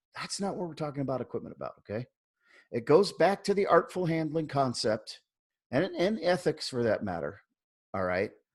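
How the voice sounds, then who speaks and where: A man with a fairly high pitch and vocal fry talks at a fairly quick pace, with very wide pitch swings. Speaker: dog training webinar host. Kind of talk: webinar lecture. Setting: online webinar. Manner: casual, many fillers.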